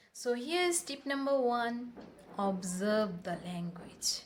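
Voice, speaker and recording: Noticeable background noise beneath a woman's fairly high, lively-toned voice. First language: Bengali. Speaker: English-speaking coach. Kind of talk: tutorial.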